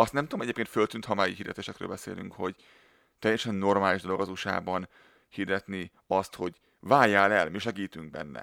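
A man at a fairly quick pace, with dry, close sound, no echo, and a very clean recording over a silent background. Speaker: podcast co-host. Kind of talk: casual chat.

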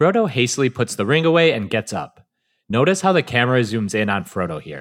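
Speaking at a fairly quick pace, a man with a medium pitch swings very widely in pitch, captured in a very clean recording with a silent background. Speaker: podcast co-host. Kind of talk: casual chat and scripted recap reading.

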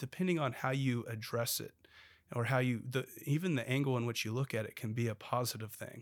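A man's unremarkable speaking voice with an American accent, fairly quick pace and ordinary pitch variation. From Oklahoma, Bartlesville. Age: 30s. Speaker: state legislator. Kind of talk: interview conversation.

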